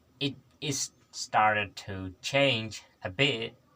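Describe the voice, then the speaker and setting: A man speaks with a non-native accent. His intonation is fairly even. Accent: noticeable non-native English. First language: not English. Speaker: English learner vlogger. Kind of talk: solo vlog practice talk. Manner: halting, many repetitions and self-corrections.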